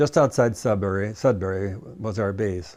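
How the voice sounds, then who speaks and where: A man's fairly low, dark, mellow voice with a Midwestern accent at a moderate pace, in a quiet background. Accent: American Midwestern. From US Midwest, Michigan (Cleveland, Grosse Pointe). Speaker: war veteran. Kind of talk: oral history interview. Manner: halting, frequent fillers.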